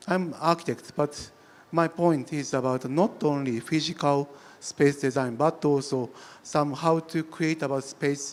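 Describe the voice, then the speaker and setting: In a Japanese accent, a man speaks at a fairly slow pace with fairly even intonation. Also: fairly high pitch for a man. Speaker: architect. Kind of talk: panel discussion. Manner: halting, many fillers and restarts.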